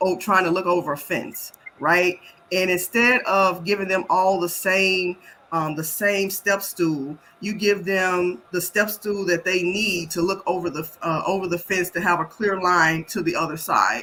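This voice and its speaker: A woman with an American accent and a plain, everyday voice speaks at a fairly slow pace, at medium pitch with fairly even intonation. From US South, Memphis, Tennessee. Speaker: health equity expert, Navy veteran. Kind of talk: panel interview.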